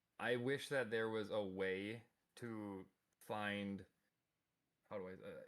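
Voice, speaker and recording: A man with a Minnesota accent at a very slow pace, fairly low in pitch, with fairly even intonation and long, frequent pauses. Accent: Minnesotan. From US Midwest, Minnesota. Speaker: podcast guest. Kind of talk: casual chat. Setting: live stream.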